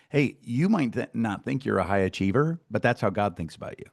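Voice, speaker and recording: A man speaks with a Midwestern American accent. His pitch is medium and his pace moderate. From US Midwest, Iowa. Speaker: success coach and podcast host. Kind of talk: casual interview chat. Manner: animated.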